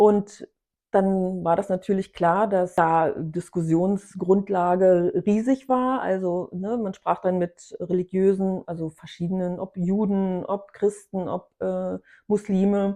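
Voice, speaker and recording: A woman with a dark, mellow tone speaks at a medium pitch and a very slow pace, her intonation fairly even. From East Germany. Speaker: contemporary witness. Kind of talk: interview.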